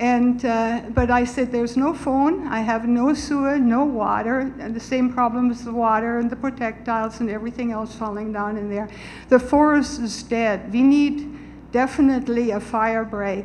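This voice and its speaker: A woman speaks at a high pitch and a moderate pace, with fairly even intonation. Noticeable background noise can be heard. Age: 70s. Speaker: resident speaking at community meeting. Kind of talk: public comment at town meeting.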